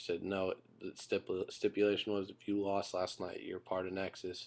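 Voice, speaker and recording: A man talks quietly at a fairly quick pace. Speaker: YouTube wrestling reviewer. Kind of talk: casual video review. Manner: kept quiet so a roommate can sleep; halting, many fillers.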